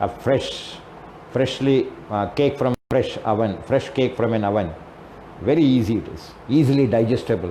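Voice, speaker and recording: With an Indian accent, a man of medium pitch speaks at a moderate pace with ordinary pitch variation. Audible room echo and noticeable background noise are present. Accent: Indian English (Telugu). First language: Telugu. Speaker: English teacher and trainer. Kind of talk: lecture. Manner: halting.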